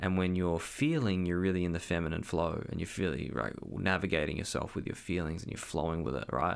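A man with a very deep, low voice and vocal fry speaks at a fairly quick pace with ordinary pitch variation, on a very clean recording with a silent background. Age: 30s. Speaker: podcast host and energetic coach. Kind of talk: solo monologue podcast. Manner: casual, hesitant with fillers.

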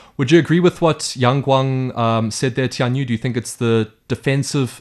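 Against a quiet background, a man talks at a very fast pace. His pitch sits in the medium range. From South Africa. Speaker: sports podcast host. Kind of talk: casual panel discussion.

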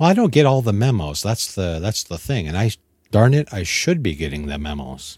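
Somewhat breathy speech comes at a fairly quick pace in a Canadian accent. The pitch swings very widely. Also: man, fairly low pitch for a man. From Ontario, Canada. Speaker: model car hobbyist guest. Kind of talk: casual chat.

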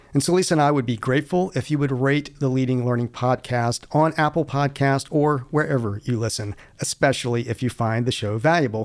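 In an ordinary speaking voice, a man talks fairly quickly at a medium pitch with ordinary pitch variation. The recording is very clean, and the background is silent. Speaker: podcast co-host. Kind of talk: scripted intro and outro.

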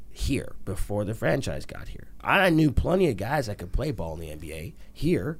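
A man's voice with vocal fry and very wide pitch swings, at a moderate pace. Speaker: actor and stand-up comedian. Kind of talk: interview.

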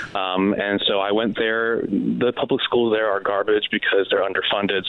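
With an American accent, a man speaks at a moderate pace. Noticeable background noise is present. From San Diego East County, California. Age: 30s. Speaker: congressional candidate. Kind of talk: interview.

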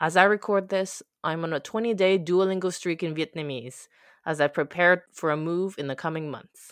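A woman in an ordinary speaking voice, fairly low in pitch with ordinary pitch variation, at a moderate pace, on a very clean recording with a silent background. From Quebec, Canada (childhood partly in Italy). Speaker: philosopher and podcaster. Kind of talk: personal narration and interview chat.

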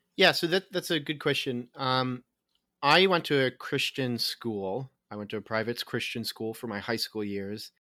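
On a very clean, dry, close recording with a silent background and no echo, a man with an American accent speaks at a moderate pace in a medium, bright, sharp voice with lively intonation. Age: 20s. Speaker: podcast host. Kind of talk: casual chat.

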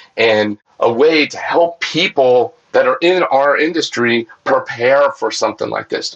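This man has a plain, everyday voice at a fairly high pitch. He talks at a moderate pace. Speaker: water treatment business owner.

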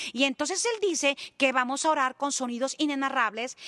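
A high-pitched woman's raised, projected voice, bright and sharp in tone, at a fairly quick pace, with a dry, close sound and no echo. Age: 50s. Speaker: evangelist. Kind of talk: testimony and religious teaching.

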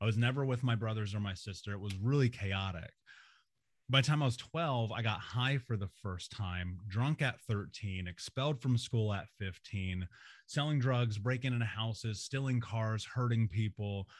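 A man's somewhat breathy, medium-pitched voice with an American accent, at a moderate pace with ordinary pitch variation, on a very clean recording with a silent background. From US Midwest, Indianapolis. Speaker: motivational speaker and trauma coach. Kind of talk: interview.

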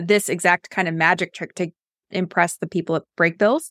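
A woman speaks at a moderate pace in a plain, everyday voice, with fairly even intonation and a dry, close sound with no echo on a very clean recording with a silent background. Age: 30s. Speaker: podcast host and writing coach. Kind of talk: podcast discussion of book analysis.

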